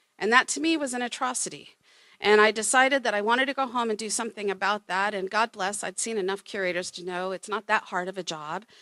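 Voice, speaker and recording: A woman speaks at a very fast pace and a fairly high pitch with ordinary pitch variation and a bright, sharp tone. The recording is very clean with a silent background and a dry, close sound with no echo. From Oklahoma. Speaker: museum curator. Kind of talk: panel presentation.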